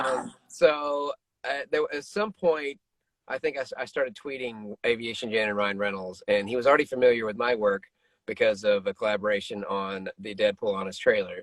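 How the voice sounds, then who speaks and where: A man in an ordinary speaking voice, medium pitch, lively intonation, moderate pace, dry, close sound with no echo. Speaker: voice actor. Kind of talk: interview answer. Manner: casual, joking.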